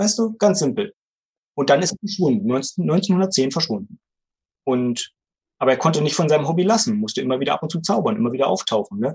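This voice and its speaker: A man's fairly high voice with vocal fry, very wide pitch swings, a fairly quick pace, and long, frequent pauses. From Brandenburg, Germany (Bernau near Berlin). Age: 40s. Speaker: magician and magic theater owner. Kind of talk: casual podcast interview.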